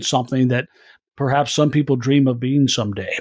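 A man with an American accent speaks at a medium pitch, with ordinary pitch variation and an ordinary speaking voice. The recording is very clean, with a silent background. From US Midwest, Iowa. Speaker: news anchor and producer. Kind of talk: interview conversation.

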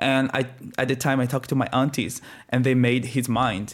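In a Brazilian accent, the speaker goes at a fairly quick pace with monotone, flat intonation, captured in a very clean recording with a silent background. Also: man. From northeast Brazil. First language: Portuguese. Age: 20s.

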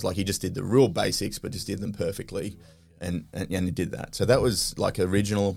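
A man speaks at a fairly low pitch with vocal fry. His intonation is fairly even. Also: very clean recording, silent background. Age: 30s. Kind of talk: casual chat.

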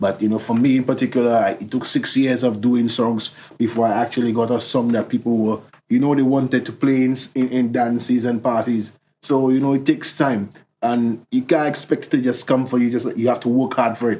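A man with a St Lucian accent talks at a fairly quick pace and medium pitch, his dark, mellow tone delivered with monotone, flat intonation. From St Lucia, Soufrière. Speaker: musician. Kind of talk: interview.

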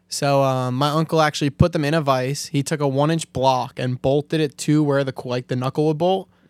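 An ordinary speaking voice from a man, fairly high in pitch with fairly even intonation and an American accent, in a dry, close sound with no echo and a very clean, silent background. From Staten Island, New York. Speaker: drifter and mechanic. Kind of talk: casual chat.

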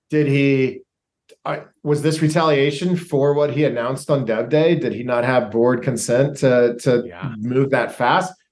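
A man with an ordinary speaking voice, fairly high in pitch, at a fairly slow pace with ordinary pitch variation. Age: 40s. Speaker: brand and digital product consultant. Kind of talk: casual interview.

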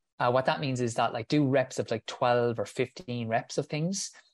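A man at a moderate pace with ordinary pitch variation, dry, close sound with no echo, and a quiet background. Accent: Irish. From Ireland. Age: 30s. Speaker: physiotherapist and runner. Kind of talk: casual interview.

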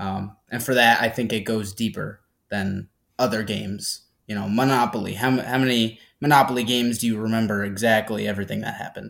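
A man's medium-pitched, normal speaking voice with an American accent, fairly quick and fairly even in intonation, on a very clean recording with a silent background. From upstate New York, near Albany. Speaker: podcast co-host. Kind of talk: interview.

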